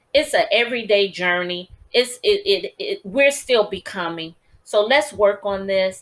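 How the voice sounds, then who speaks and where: Lively intonation and an animated tone mark this woman's delivery. She talks at a fairly slow pace and a medium pitch. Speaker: podcast host and author. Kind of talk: motivational talk.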